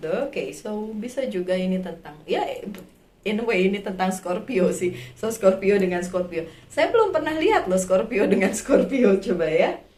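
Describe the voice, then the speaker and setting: Audible room echo surrounds a woman as she talks. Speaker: tarot reader. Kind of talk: tarot reading for viewers. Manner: casual, with many fillers.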